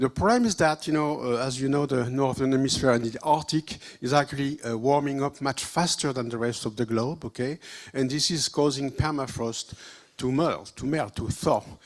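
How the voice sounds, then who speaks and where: This man talks at a moderate pace in a French accent. His voice sits fairly high, with ordinary pitch variation. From France. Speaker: virologist. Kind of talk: short talk to a conference audience. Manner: halting, many fillers.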